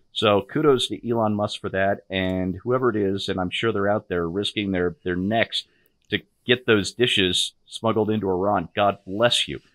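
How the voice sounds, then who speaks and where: A man talks at a moderate pace with a fairly low pitch and fairly even intonation. The sound is dry with no echo, and the background is quiet. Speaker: co-host, political commentator. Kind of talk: angry rant. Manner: fiery, sarcastic, indignant, raised-voice. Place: home room. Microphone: video call.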